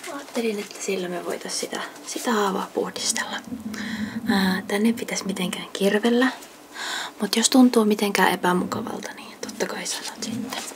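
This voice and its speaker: Whispering and soft-spoken, a woman talks at a moderate pace with big swings in loudness over noticeable background noise. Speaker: ASMR creator playing a nurse. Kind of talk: ASMR nurse roleplay. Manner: soft-spoken, whispering.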